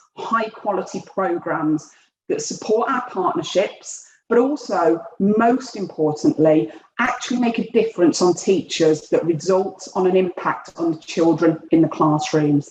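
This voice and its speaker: Speaking at a fairly slow pace with a Birmingham accent, a woman uses lively intonation. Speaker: education programme director, former head teacher. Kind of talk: webinar presentation.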